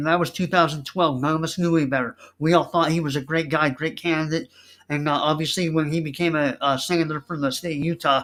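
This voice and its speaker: This man's voice sits fairly high and moves at a fairly quick pace. The recording is very clean, with a silent background. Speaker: political candidate and online show host. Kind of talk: campaign speech. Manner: loud; animated.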